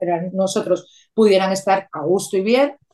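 A woman speaks with a dark, mellow tone. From Venezuela (Caracas). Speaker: rural holiday apartment owner. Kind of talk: interview.

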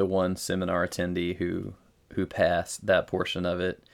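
On a very clean recording with a silent background, a man with a slight Southern US accent speaks at a moderate pace in a very deep, low pitch. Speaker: podcast co-host, novice lifter. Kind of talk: casual chat.

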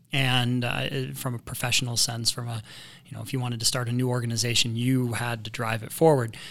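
In an American accent, a man with a normal speaking voice talks at a fairly quick pace and medium pitch, his intonation fairly even but his loudness swinging widely. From Indiana. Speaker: local resident guest. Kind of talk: casual chat. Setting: studio.

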